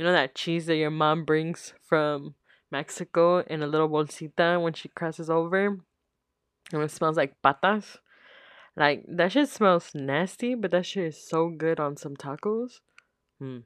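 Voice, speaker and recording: The background is quiet and the sound dry and close, with no echo. Pitch variation is ordinary. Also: woman, fairly low pitch for a woman. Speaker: podcast host. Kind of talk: casual solo Q&A chat.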